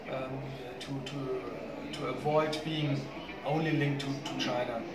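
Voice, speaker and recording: Background noise is clearly audible. The speaker is a man. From Germany. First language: German. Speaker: business chamber executive. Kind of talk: interview. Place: hall.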